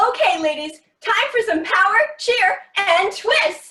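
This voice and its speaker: A woman's squeaky, put-on character voice at an extremely high pitch, fairly slow in pace, with a slight echo. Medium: stage play. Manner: peppy, commanding.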